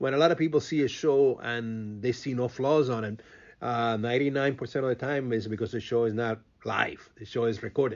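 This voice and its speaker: A man with a Cuban accent talks at a medium pitch with ordinary pitch variation. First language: Spanish. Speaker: radio host and event producer. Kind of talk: interview. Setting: radio studio. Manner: halting, with repeated words and fillers.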